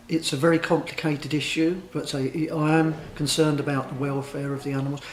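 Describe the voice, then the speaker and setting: There is noticeable background noise as a man speaks in a fairly high pitch. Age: 60s. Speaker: interviewee. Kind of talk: vox pop interview.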